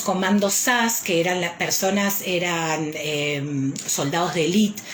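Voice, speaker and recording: Fairly slow speech from a woman, audible echo of the room, and noticeable noise behind her. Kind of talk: live stream talk. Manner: frequent hesitations.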